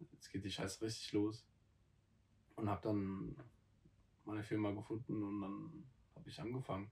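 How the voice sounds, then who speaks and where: A man's somewhat breathy voice sits at a fairly low pitch with ordinary pitch variation. He leaves long, frequent pauses. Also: moderate pace, big swings in loudness. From South Africa. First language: not German (speaking German). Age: 20s. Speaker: podcast co-host, trainee. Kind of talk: casual chat.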